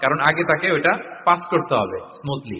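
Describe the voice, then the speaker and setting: A man speaking in an animated tone. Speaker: Islamic preacher. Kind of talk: Islamic sermon (waz) lecture. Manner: animated, conversational, mixing English words.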